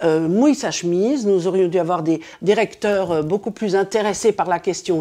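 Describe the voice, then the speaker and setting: A woman with a dark, mellow tone talks at a moderate pace and medium pitch, using ordinary pitch variation and hardly any pauses. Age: 60s. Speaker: retired school head and linguist. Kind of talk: interview testimony. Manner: hesitant, many fillers.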